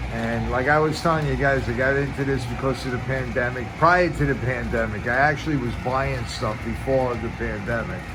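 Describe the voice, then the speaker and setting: A man in a relaxed tone with a New York accent, at a moderate pace with hardly any pauses, amid noticeable background noise and audible room echo. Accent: New York (Bronx). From New York City, the Bronx. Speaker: model train hobbyist vlogger. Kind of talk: casual monologue to viewers. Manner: halting, many fillers and restarts.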